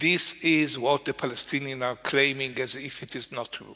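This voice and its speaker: A man's fairly high, bright, sharp voice with an Israeli accent and monotone, flat intonation. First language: Hebrew. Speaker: journalist. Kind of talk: panel discussion. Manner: halting.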